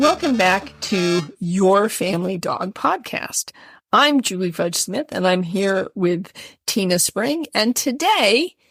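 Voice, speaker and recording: With music in the background, a woman with an American accent speaks very slowly and with lively intonation, the sound dry and close with no echo. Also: medium pitch for a woman. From US Midwest. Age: 60s. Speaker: podcast host. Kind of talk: casual chat.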